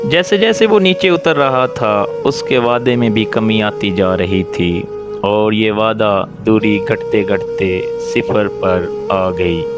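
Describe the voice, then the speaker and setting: Over music in the background, a man with a fairly low pitch speaks at a very even loudness. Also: lively intonation. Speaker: storyteller. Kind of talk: moral story narration.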